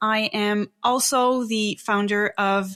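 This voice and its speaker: Bright and sharp in tone, a woman with a French Canadian accent speaks at a fairly high pitch with ordinary pitch variation. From Quebec, Canada. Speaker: psychic and spiritual teacher. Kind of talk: interview.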